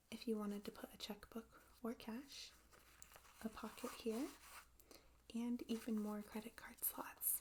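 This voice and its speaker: A soft-spoken woman talks at a fairly high pitch and a fairly slow pace. Her intonation is fairly even, with long, frequent pauses. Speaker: ASMR creator. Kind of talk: ASMR show and tell.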